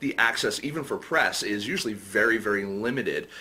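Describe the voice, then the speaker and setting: Noticeable background noise sits behind this recording. A man speaks with fairly even intonation. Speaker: film podcast host. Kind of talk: interview. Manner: halting, many fillers.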